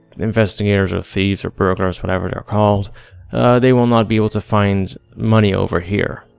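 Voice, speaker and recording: Music plays behind a man speaking at a fairly quick pace. His pitch is fairly low and his intonation fairly even. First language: not English. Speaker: gaming commentator. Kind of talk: gameplay commentary.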